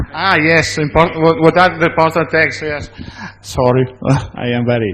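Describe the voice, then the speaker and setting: Over noticeable background noise, a man with an Italian accent speaks at a moderate pace and a fairly high pitch, with ordinary pitch variation. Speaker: conference speaker. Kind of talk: conference Q&A. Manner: halting.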